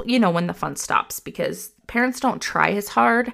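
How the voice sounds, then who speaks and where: A woman is speaking. Her pace is moderate. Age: 30s. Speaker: parenting podcast host and therapist. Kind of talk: solo podcast monologue. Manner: casual, conversational.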